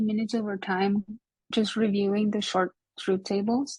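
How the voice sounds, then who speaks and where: A woman speaks at a moderate pace in a fairly high pitch, somewhat breathy. The background is quiet. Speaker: logic teacher. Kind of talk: lecture.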